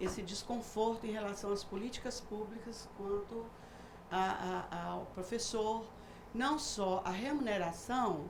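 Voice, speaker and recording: A woman's fairly high voice with ordinary pitch variation at a fairly slow pace, with audible room echo and noticeable background noise. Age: 60s. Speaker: retired university professor and businesswoman. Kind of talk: TV talk show discussion. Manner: halting, many fillers.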